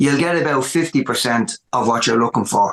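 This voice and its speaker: This man speaks with a Dublin accent and a fairly high pitch. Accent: Dublin Irish. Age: 60s. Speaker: rock musician. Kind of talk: podcast interview. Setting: music room at home.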